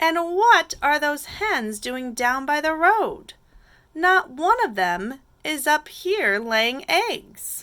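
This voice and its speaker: A woman uses a put-on character voice at a high pitch with very wide pitch swings. She speaks at a very slow pace. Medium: read story.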